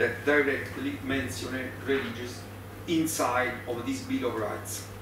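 A man with an Italian accent, audible room echo and noticeable background noise. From Italy. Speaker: law professor. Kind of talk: conference lecture. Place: meeting room.

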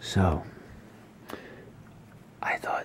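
Whispered throughout. The pace is very slow. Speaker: ASMR creator. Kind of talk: casual talk to camera. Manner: soft-spoken. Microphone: phone near.

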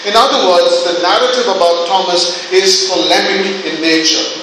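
A man's raised, projected voice at a fairly slow pace, with ordinary pitch variation, strong room echo and noticeable background noise. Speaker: preacher. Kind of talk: sermon. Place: church.

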